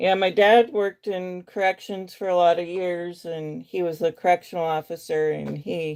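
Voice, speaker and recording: In a slight Western US accent, a woman with a fairly low pitch speaks at a moderate pace and fairly even intonation, the sound dry and close with no echo. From US Midwest. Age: 40s. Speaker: beauty vlogger. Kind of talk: makeup tutorial livestream chat. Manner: casual, hesitant with fillers.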